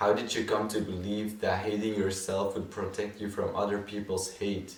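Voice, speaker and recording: Against noticeable background noise, a man speaks with fairly low pitch and monotone, flat intonation. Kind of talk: poetry reading.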